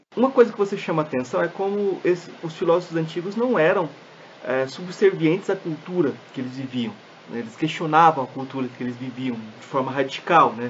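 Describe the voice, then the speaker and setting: This man's voice sits fairly high and moves at a fairly quick pace. His intonation is lively, and background noise is noticeable. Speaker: podcast host. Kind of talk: interview conversation.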